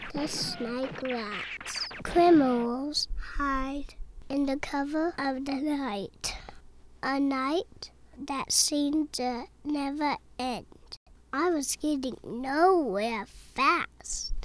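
A woman speaks with a high voice. Her pace is very slow. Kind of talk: film noir voiceover. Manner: world-weary, wisecracking.

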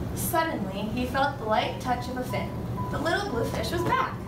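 Music plays in the background while a woman speaks at a moderate pace. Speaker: student teacher reading aloud. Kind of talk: storybook read-aloud. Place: classroom. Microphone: camera far.

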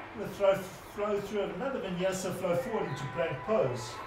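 High pitch from a man at a moderate pace, with ordinary pitch variation and noticeable background noise. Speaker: yoga instructor. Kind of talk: live online yoga class, guiding poses in a calm, steady cue-by-cue voice. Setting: video call. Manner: encouraging and affectionate.

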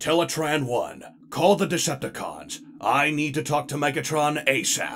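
In a put-on character voice, a man sounds raspy and fairly high-pitched, speaking at a moderate pace. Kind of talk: comic dub.

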